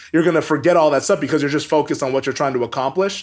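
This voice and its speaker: Over music in the background, a man with an American accent talks very fast at a fairly high pitch, with ordinary pitch variation. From US Pacific Northwest, Everett, Washington. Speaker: sports broadcaster. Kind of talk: interview.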